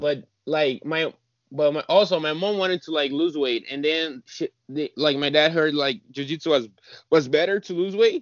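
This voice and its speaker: Using an unremarkable speaking voice, a man talks at a moderate pace in a fairly high pitch with ordinary pitch variation. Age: 20s. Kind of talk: interview.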